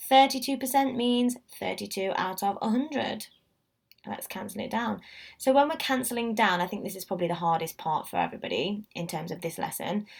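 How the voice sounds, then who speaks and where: A woman with fairly high pitch, lively intonation, big swings in loudness, a somewhat breathy quality and a fairly quick pace. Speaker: maths teacher. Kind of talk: tutorial. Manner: animated.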